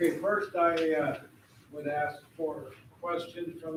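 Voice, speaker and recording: Very slow speech from a man, with noticeable background noise behind him. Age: 80s+. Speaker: board chair. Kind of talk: meeting chairing.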